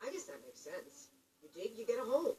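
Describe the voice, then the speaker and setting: This put-on character voice is high-pitched and races along at a very fast pace. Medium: video game.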